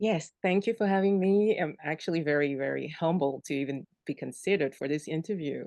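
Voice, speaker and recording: A woman with a French accent speaks at a fairly quick pace with hardly any pauses, her very deep, low pitch carrying a dark, mellow tone and ordinary variation. The background is quiet. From Cameroon. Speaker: virtual assistant, military spouse. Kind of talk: interview.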